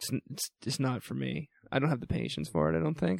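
The pace is very fast. The pitch swings very widely. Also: man. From New Brunswick, Canada. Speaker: university orientation week podcast host. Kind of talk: casual chat. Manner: animated.

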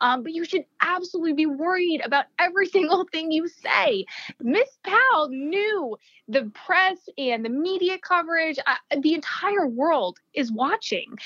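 A woman with an extremely high pitch, very wide pitch swings and a fairly slow pace, in a dry, close sound with no echo. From New Jersey. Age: 30s. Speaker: lawyer. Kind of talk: casual chat.

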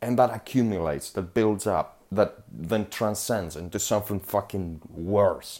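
A speaker with a non-native accent and a dark, mellow tone talks at a fairly slow pace with ordinary pitch variation. The recording is very clean, with a silent background. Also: man. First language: not English. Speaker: podcast host. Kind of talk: solo monologue podcast. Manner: animated.

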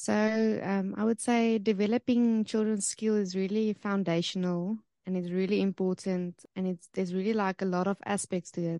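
With a South African accent, a woman talks at medium pitch in a dark, mellow tone with monotone, flat intonation and hardly any pauses, the sound dry and close with no echo over a quiet background. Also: moderate pace. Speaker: homeschool resource founder.

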